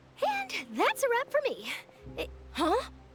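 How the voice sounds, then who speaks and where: Over clear music in the background, a woman uses a squeaky put-on character voice at an extremely high pitch and a moderate pace. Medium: video game.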